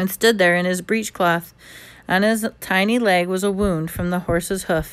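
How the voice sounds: The clip has a natural reading voice.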